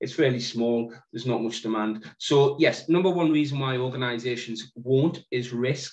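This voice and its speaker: Delivered at a moderate pace with hardly any pauses, this voice has a northeast England accent and ordinary pitch variation. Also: man, medium pitch for a man. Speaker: social investment fund manager. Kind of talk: panel discussion.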